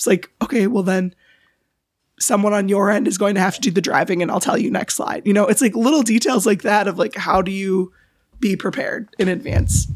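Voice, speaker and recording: This woman has an ordinary speaking voice at medium pitch, with ordinary pitch variation. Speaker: podcast co-host. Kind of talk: casual chat.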